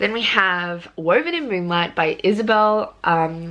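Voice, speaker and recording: A woman with an Australian accent. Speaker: book vlogger. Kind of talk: casual vlog. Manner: hesitant, many fillers.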